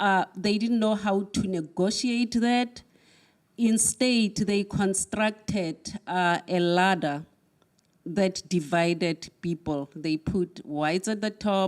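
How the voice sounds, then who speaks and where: A woman's medium-pitched voice with ordinary pitch variation and very even loudness, at a very slow pace, on a very clean recording over a silent background. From South Africa. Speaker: academic speaker. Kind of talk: talk to an audience. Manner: halting, with fillers.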